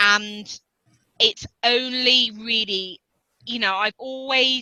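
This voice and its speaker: Ordinary pitch variation in a British accent, with a bright, sharp tone and a dry, close sound free of echo. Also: woman. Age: 40s. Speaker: ultra runner and activist. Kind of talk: interview answer.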